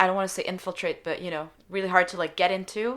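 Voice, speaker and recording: A woman speaks at a very fast pace with a French accent. Her pitch is medium, and the recording is very clean with a silent background. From Switzerland. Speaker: singer-songwriter. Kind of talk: interview.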